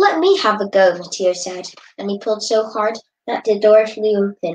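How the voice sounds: The speaker uses a natural reading voice with fairly even intonation. The background is quiet.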